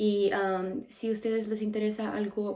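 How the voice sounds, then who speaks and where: Speaking very slowly, a woman keeps her voice at a fairly high pitch. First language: English (speaking Spanish). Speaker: beauty YouTuber. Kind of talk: makeup tutorial chat. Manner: casual, self-correcting.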